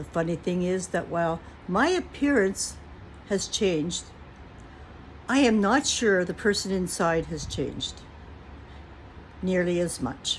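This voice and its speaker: A woman speaks at a fairly slow pace with long, frequent pauses. Her voice is somewhat breathy. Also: medium pitch for a woman, lively intonation. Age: 60s. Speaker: vlogger. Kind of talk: casual chat. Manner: reflective.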